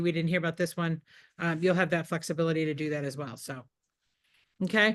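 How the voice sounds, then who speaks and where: Speaking at a very fast pace, a woman is heard with a quiet background behind her. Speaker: real estate trainer. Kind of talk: training workshop. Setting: office meeting with zoom participants.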